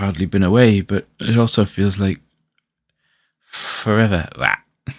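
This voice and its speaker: The speaker has a British accent and a relaxed tone on a very clean recording with a silent background. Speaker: vtuber pixel artist streamer. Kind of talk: casual livestream chat. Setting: livestream. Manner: relaxed, chill.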